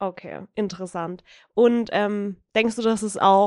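Over a quiet background, a woman of medium pitch speaks in a monotone, flat way, with a dry, close sound and no echo. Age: 20s. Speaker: youth council member, podcast co-host. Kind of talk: interview.

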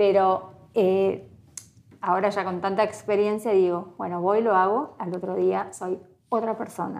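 A woman with an unremarkable speaking voice, medium pitch, fairly even intonation and a fairly slow pace. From Argentina, Entre Ríos province. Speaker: pastry influencer. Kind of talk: interview.

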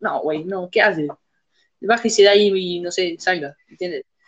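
Here is an ordinary speaking voice from a woman. She talks at a fairly slow pace with lively intonation. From Uruguay, Montevideo. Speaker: podcast host. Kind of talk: casual chat.

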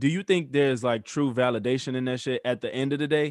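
This is a man with a medium pitch. His voice comes across dry and close, with no echo. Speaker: podcast co-host. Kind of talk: casual banter podcast chat. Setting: video call over Zoom. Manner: laughing, joking, casual.

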